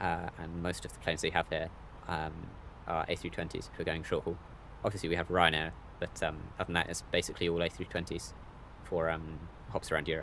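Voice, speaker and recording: A man with a British accent speaks at a very fast pace in a very deep, low voice with vocal fry. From Britain. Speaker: flight sim streamer. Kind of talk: live stream commentary. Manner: casual, hesitant with many fillers.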